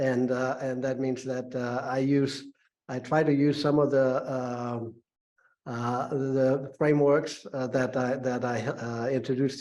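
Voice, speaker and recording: A man with a non-native accent, medium pitch, monotone, flat intonation and a fairly slow pace, with audible room echo. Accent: foreign. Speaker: business school professor. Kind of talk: lecture. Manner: halting, many fillers.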